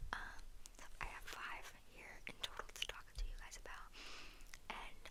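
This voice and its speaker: The speech is whispered. Noticeable background noise sits behind it. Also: woman. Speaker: ASMR creator. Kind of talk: ASMR whispered talk to camera.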